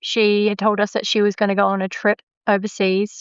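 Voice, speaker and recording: In an Australian accent, a woman speaks at a moderate pace. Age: 50s. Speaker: podcast host. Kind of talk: interview.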